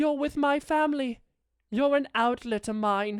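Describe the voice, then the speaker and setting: A high-pitched, put-on character voice. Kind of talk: comfort audio roleplay. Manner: soft-spoken, affectionate.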